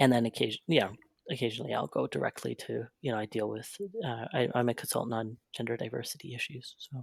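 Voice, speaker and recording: A man with a medium-pitched voice and vocal fry talks at a very fast pace. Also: ordinary pitch variation, dry, close sound with no echo. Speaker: gender diversity consultant. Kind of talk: podcast conversation. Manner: halting.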